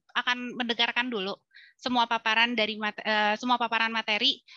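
Bright and sharp in tone, the voice keeps fairly even intonation at a moderate pace, with dry sound, no echo and a quiet background. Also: woman. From Bandung, Indonesia; Indonesia. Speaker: film festival curator and moderator; moderator. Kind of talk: webinar moderation. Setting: video call. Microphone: headset.

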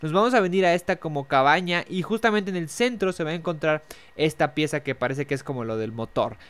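At a very fast pace, a man talks with a Mexican accent. His fairly high voice has lively intonation. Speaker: gaming youtuber. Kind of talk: tutorial.

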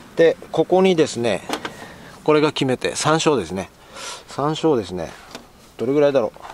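A man with a Tochigi accent at a moderate pace, fairly high in pitch with lively intonation, long, frequent pauses, a dry sound with no echo and light background noise. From Tochigi, Japan. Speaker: outdoor camping vlogger. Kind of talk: casual talk to camera. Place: waterside. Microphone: phone near.

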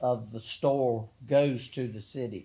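A man speaks with a Southern US accent. His intonation is fairly even. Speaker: mayor chairing council meeting. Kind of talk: council meeting. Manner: formal.

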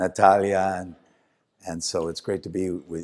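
The man's voice sits at a very deep, low pitch. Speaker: guest. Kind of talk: speech to an audience. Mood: warm, joking. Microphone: handheld.

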